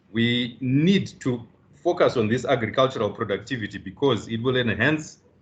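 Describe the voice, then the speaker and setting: A man speaks in a normal speaking voice. His pitch is medium and varies in an ordinary way. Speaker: business leader panelist. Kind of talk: seminar presentation.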